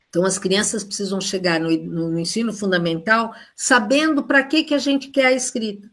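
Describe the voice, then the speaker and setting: Somewhat breathy, the woman's voice carries lively intonation. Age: 70s. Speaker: retired education professor. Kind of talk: online lecture. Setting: live stream.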